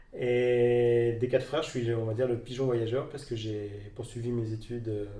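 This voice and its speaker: Amid noticeable background noise and audible room echo, a man speaks at a moderate pace with monotone, flat intonation. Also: medium pitch for a man. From Normandy, France (Rouen area). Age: 30s. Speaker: entrepreneur, clothing brand founder. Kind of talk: interview. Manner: halting, many fillers.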